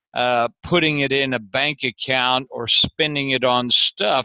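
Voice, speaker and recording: The tone is bright and sharp, the intonation fairly even, at a fairly slow pace. The sound is dry and close, with no echo. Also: man. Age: 60s. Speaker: entrepreneur and business author. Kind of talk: interview. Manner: halting, repeats words.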